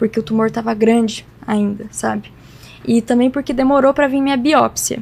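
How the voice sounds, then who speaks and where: At a moderate pace, a woman with a fairly high pitch and a dark, mellow tone speaks with ordinary pitch variation. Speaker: cancer patient. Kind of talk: interview testimony. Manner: casual, conversational.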